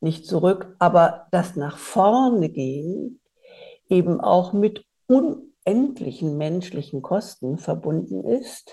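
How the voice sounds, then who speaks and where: A woman with a dark, mellow tone and a fairly low pitch speaks at a very slow pace, her voice making very wide pitch swings and showing vocal fry. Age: 30 years older than during the Bosnian war, so 60s or older. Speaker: podcast host, politician. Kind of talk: interview conversation.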